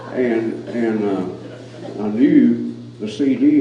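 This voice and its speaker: Noticeable background noise, audible room echo and fairly even intonation. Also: man. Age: 70s. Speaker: cowboy poet. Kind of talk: casual chat. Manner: halting.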